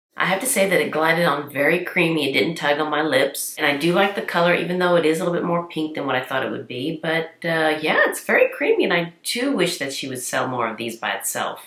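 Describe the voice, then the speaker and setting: A woman with fairly low pitch and lively intonation, talking very fast with hardly any pauses over noticeable background noise. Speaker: beauty vlogger. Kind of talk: product review tutorial. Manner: chatty. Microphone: poor sound.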